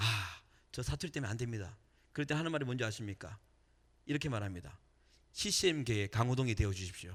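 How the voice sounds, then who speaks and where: A man with a medium pitch, very fast and animated, lively in intonation yet broken by long, frequent pauses. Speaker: evangelist and worship leader, radio host. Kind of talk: testimony and sermon. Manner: animated, engages audience.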